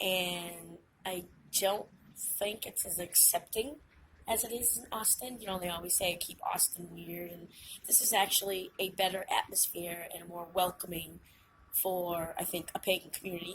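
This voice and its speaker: A woman with a Massachusetts accent talks at a medium pitch and a moderate pace, with ordinary pitch variation. Her loudness shifts in big swings. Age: 40s. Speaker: witch and vlogger. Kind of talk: casual vlog monologue. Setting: outdoors on a hike and bike trail.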